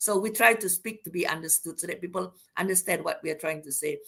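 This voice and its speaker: A very fast, bright, sharp voice from a woman at medium pitch, with a Malaysian accent. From Sarawak, Malaysia (Iban). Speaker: university academic, invited speaker. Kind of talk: lecture. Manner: loud.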